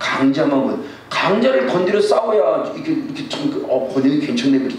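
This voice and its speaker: A man rattles along at a very fast pace, with noticeable background noise and audible room echo around him. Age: 60s. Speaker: pastor. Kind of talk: sermon.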